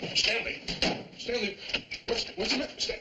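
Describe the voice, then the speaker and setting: A man puts on a character voice at an extremely high pitch and moderate pace. There is light background noise and a slight echo. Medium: short film. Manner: reasonable, soothing.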